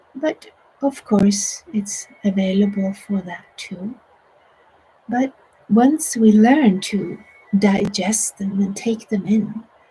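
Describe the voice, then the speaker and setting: With long, frequent pauses, a woman talks at a very slow pace over noticeable background noise. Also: medium pitch for a woman, ordinary pitch variation. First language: Swedish. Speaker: meditation teacher. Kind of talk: guided meditation. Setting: online broadcast.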